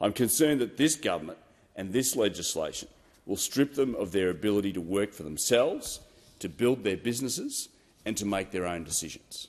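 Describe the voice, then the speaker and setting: Fairly quick man with an Australian accent and lively intonation. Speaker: politician. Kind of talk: parliamentary speech. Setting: parliament chamber. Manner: halting.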